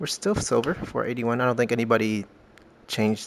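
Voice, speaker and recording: Fairly level intonation runs through this man's speech. His voice sits at a middle pitch. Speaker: gaming streamer. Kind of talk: gameplay commentary. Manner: loud; casual with fillers.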